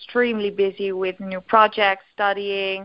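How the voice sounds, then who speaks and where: Here a woman with a Dutch accent speaks at a medium pitch. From Netherlands. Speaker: eating disorder recovery coach. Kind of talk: casual interview chat. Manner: hesitant, filler words.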